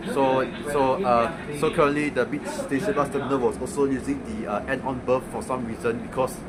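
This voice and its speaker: Male speech at a medium pitch, ordinary in variation, amid audible room echo and noticeable background noise. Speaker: bus enthusiast vlogger. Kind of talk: casual travel vlog commentary. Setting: on a moving bus. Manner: loud; halting, many fillers.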